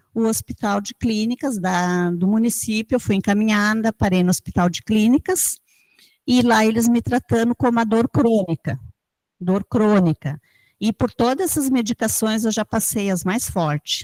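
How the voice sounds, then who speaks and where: A woman speaks somewhat breathily at a fairly high pitch and a fairly slow pace, with ordinary pitch variation. The recording is very clean and silent in the background, with a dry, close sound and no echo. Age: 60s. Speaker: chronic pain patient. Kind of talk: testimony.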